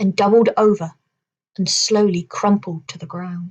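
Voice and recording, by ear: With fairly even intonation and a quiet background, someone reads aloud in a natural voice.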